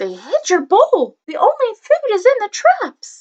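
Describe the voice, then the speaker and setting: Squeaky and put-on, the character voice moves at a fairly slow pace with very wide pitch swings. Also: woman. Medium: read story.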